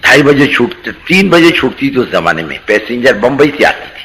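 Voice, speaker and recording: There is noticeable background noise as a man talks at a moderate pace in a fairly high pitch with ordinary pitch variation. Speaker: Islamic preacher. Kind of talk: religious talk, storytelling.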